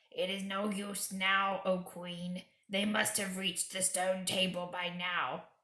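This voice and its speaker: Using a growling put-on character voice, a woman speaks at a medium pitch and a fairly slow pace, with monotone, flat intonation and hardly any pauses. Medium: read story. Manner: grim, low.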